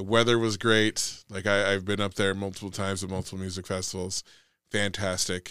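A man talks at a fairly quick pace in a bright, sharp tone. His intonation is monotone and flat, on a very clean recording with a silent background. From Nevada, Sparks. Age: 40s. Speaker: podcast co-host, teacher. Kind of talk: casual chat.

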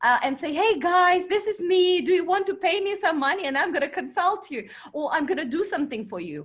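An extremely high-pitched woman's voice with a Russian accent, at a fairly quick pace with hardly any pauses. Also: lively intonation. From Russian Far East. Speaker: marketing expert and company founder. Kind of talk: interview.

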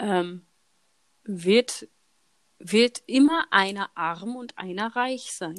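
A woman of medium pitch speaks at a very slow pace, with long, frequent pauses and lively intonation. Her loudness swings widely, and the sound is dry and close with no echo. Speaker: podcast host. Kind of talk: casual chat. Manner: laughing often.

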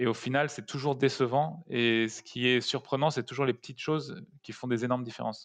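A man speaks at a medium pitch, with loudness that rises and falls sharply. He barely pauses, and his intonation stays fairly even. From Paris suburbs, France. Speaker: startup co-founder. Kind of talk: interview. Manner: halting, many repetitions.

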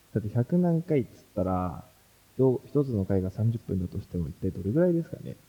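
A man with a fairly low pitch and a dark, mellow tone speaks at a fairly quick pace, his voice making very wide pitch swings. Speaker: graduate student and security podcaster. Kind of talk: casual chat.

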